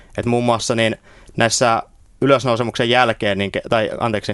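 A man speaks at a moderate pace and a medium pitch, the sound dry and close with no echo. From Finland, Oulu. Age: 20s. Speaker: theology student. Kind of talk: radio interview. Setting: radio studio. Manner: halting, many fillers.

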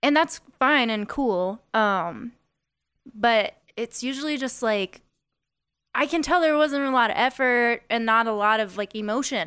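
In an American accent, a woman with a high, bright and sharp voice speaks fairly slowly with lively intonation. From Las Vegas, US. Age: 20s. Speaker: singer-songwriter. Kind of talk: casual podcast interview. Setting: studio.

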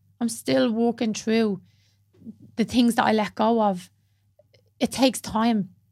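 With a Dublin accent, a woman speaks at a fairly slow pace and a very even loudness. Her long pauses come often. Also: fairly high pitch for a woman, ordinary pitch variation. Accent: Dublin Irish. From Dublin, Ireland (Blanchardstown). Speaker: yoga teacher and mental health advocate. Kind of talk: casual interview chat.

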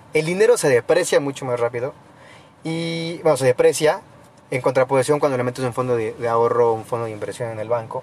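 A man rattles off his words at a very fast pace while noticeable background noise runs underneath. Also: medium pitch for a man, ordinary pitch variation. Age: 20s. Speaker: international relations graduate student. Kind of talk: casual chat.

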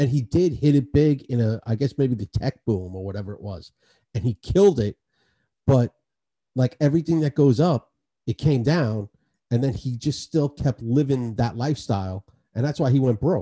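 A man with a New York accent, a dark, mellow, somewhat breathy tone, medium pitch, lively intonation and a moderate pace, in a dry, close sound with no echo. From New York City, Queens (Astoria). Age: 40s. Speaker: podcast host. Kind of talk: casual chat.

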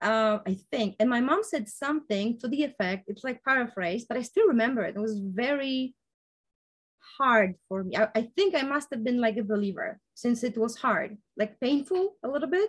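With a non-native accent, a woman talks in a fairly high pitch with lively intonation. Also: moderate pace. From village outside the US, non-English-speaking country. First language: not English. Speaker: interviewee sharing life story. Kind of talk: interview conversation. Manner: halting, many fillers and self-corrections.

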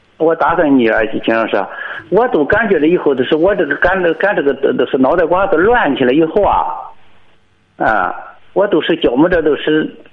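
Noticeable background noise sits behind a man with a high pitch and lively intonation, who speaks at a moderate pace and very even loudness, with long, frequent pauses. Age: 60s. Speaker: farmer calling in. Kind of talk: phone-in conversation. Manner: halting.

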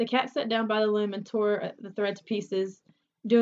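It is plain reading aloud against a quiet background.

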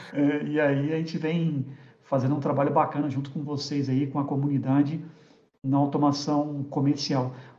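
At a moderate pace, a man talks in a monotone, flat way, with audible room echo. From Rio de Janeiro, Brazil. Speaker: tech industry executive. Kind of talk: casual interview chat.

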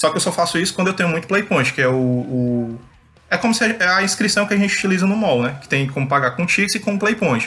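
A man's normal speaking voice at a fairly quick pace, full of lively intonation. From Brazil, Fortaleza, Ceará. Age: 30s. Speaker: professional card game player. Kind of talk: casual interview chat.

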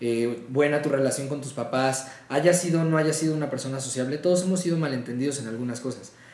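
A man's fairly high voice with ordinary pitch variation, audible room echo and noticeable background noise. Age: 20s. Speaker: voice actor. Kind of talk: casual chat.

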